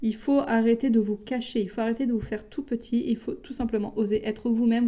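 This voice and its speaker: With a dark, mellow tone, a woman speaks at a fairly high pitch. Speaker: tarot card reader. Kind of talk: tarot reading. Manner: hesitant, with many fillers.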